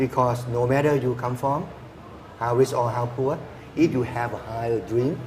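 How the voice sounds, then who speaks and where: A man speaks in a Thai accent at a medium pitch, his intonation flat and monotone, over noticeable background noise. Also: moderate pace. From rural Thailand. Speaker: engineer and university lecturer. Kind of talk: TV interview.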